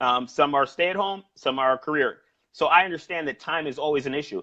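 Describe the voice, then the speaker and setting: Speaking in a New York accent, this man shows ordinary pitch variation. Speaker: sales trainer and personal trainer. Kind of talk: interview about sales coaching. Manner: fast.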